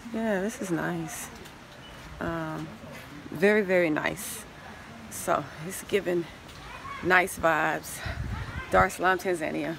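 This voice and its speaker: Against noticeable background noise, a woman talks at a very slow pace with long, frequent pauses. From United States. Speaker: travel vlogger and relocation consultant; travel vlogger. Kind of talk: casual walking vlog to camera. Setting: outdoors at a hotel, walking with camera. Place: garden. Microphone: phone near.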